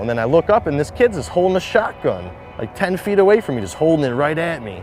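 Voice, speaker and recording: A man with a Detroit accent, fairly quick pace and very wide pitch swings, music in the background. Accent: Detroit-area American English. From Michigan, Detroit suburbs. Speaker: shooting survivor and skateboarder. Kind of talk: personal testimony interview. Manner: casual, filler-heavy.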